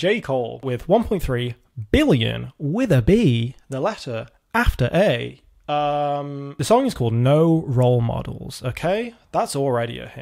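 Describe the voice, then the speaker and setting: With a British accent, a man speaks at a fairly slow pace with a fairly high pitch and lively intonation against a quiet background. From Britain. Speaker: video essayist. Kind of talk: video essay commentary. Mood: wry, sarcastic. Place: home room. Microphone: studio mic.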